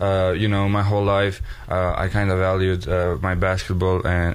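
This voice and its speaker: A man with a Serbian accent speaks at a moderate pace in a very deep, low voice, his intonation flat and monotone. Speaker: college student athlete. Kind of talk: radio interview. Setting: studio.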